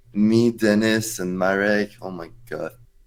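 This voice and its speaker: A man's fairly low voice with a French accent and fairly even intonation. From France. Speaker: esports player. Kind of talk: casual chat. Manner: halting.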